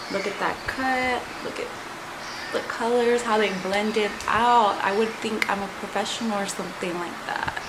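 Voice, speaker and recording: Amid noticeable background noise and audible room echo, a woman with a Spanish accent speaks at a fairly high pitch and a moderate pace, her intonation fairly even. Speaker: beauty vlogger. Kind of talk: makeup tutorial. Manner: casual, chatty.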